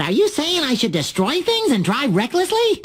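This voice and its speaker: A put-on character voice, high in pitch with very wide pitch swings, over light background noise. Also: moderate pace. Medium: video game. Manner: excitable.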